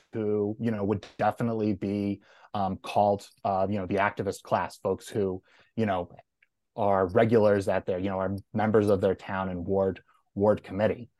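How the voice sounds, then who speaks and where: Against a quiet background, a man with an American accent speaks at a moderate pace in a fairly low, monotone, flat voice, the sound dry and close with no echo. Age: 30s. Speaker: political consultant. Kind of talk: debate.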